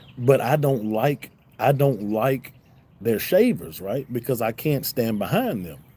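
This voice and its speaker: Fairly slow man's voice, dark and mellow in tone, medium pitch, with lively intonation. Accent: Southern US. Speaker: YouTube reaction streamer. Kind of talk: live stream chat.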